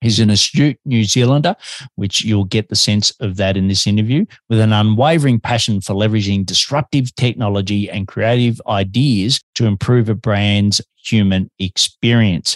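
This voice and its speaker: Against a quiet background, a man with an Australian accent talks at a moderate pace and a fairly low pitch, with ordinary pitch variation. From Melbourne, Australia. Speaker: podcast host. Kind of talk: interview.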